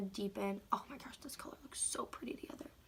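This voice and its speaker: Speaking at a fairly quick pace with ordinary pitch variation, a woman is heard over noticeable background noise. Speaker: makeup tutorial creator. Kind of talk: makeup tutorial. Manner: casual, chatty.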